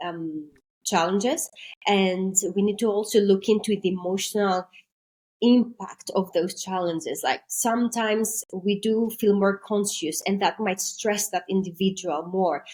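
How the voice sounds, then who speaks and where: A woman with a Greek accent, fairly slow in pace, with ordinary pitch variation. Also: medium pitch for a woman. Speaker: maritime intercultural trainer. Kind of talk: podcast interview.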